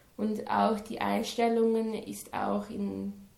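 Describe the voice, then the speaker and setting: A woman speaks very slowly in a monotone, flat intonation, with audible room echo around her. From Switzerland, near Lucerne. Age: 20s. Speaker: student teacher. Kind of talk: interview. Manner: halting.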